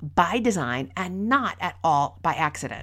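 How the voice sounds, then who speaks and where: A woman at a fairly slow pace, with vocal fry and very wide pitch swings. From rural Minnesota. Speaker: podcast host, workplace communication consultant. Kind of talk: solo podcast talk, storytelling and advice.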